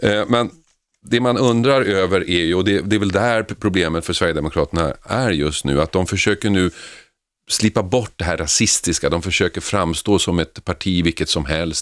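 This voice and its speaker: On a very clean recording with a silent background, a man talks at a moderate pace with ordinary pitch variation. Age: 50s. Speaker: radio host. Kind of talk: talk radio discussion. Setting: studio.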